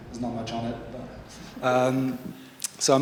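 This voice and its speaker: A man with a French accent talks at a moderate pace and medium pitch, his intonation fairly even, with noticeable background noise behind him. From France. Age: 50s. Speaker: photographer. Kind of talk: panel talk at a seminar. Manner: hesitant, many fillers.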